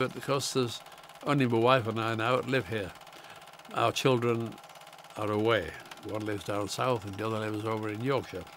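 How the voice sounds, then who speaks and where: A man at a medium pitch and fairly quick pace, with fairly even intonation and long, frequent pauses, over noticeable background noise. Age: 80s+. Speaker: retired wildlife carer. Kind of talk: documentary interview. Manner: halting.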